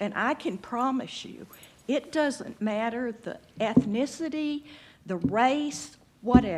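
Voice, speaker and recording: A woman with an American accent, a fairly high pitch, lively intonation and a very slow pace. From Texas. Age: 70s. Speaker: public commenter at city council, retired social worker. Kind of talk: public comment at council meeting.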